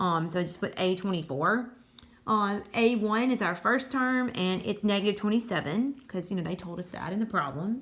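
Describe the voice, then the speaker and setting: A woman's medium-pitched voice with a Southern US accent, at a moderate pace with ordinary pitch variation. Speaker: high school math teacher. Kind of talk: tutorial. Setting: recording at home. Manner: casual with many fillers.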